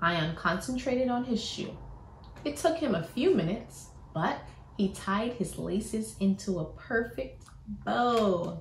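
A woman speaking at a very slow pace, with audible room echo and light background noise. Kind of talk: storybook read-aloud. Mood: warm, animated, smiling. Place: home room. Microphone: phone near.

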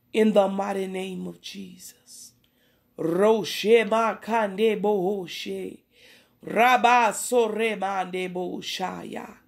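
Speaking at a very slow pace, a woman with a medium pitch keeps her intonation fairly even while her loudness swings widely. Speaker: prayer leader. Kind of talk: fervent spontaneous prayer with speaking in tongues. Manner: impassioned, repetitive rhythmic invocations of Father God.

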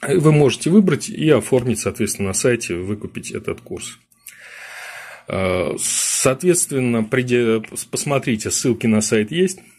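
Speaking at a fairly slow pace, a man leaves long, frequent pauses while his pitch swings very widely. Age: 50s. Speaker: political strategist; webinar host. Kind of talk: webinar lecture; lecture. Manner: halting. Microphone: webcam.

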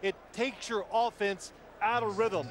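A man with a high pitch speaks at a moderate pace. The recording is dry with no echo, with noticeable background noise behind him. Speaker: TV game analyst. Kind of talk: commentary.

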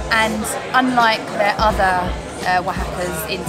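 A woman talks while music plays clearly in the background. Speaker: food vlogger. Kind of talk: casual vlog chat. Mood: pleased, full after meal. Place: cafe. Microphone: phone near.

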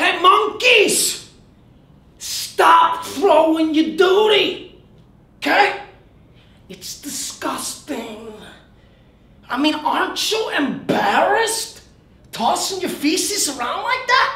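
A man puts on a character voice at an extremely high pitch, speaking at a very slow pace with long, frequent pauses and a slight echo. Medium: comedy sketch. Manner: indignant, scolding.

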